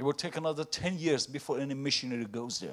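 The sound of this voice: A man speaks loudly at a fast pace. His voice sits at a medium pitch with ordinary pitch variation.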